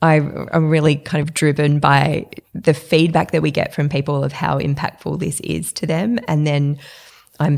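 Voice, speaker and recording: A woman with an Australian accent, very deep and low in pitch, with vocal fry, fairly even intonation and a moderate pace. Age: 40s. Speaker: entrepreneur. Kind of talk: interview.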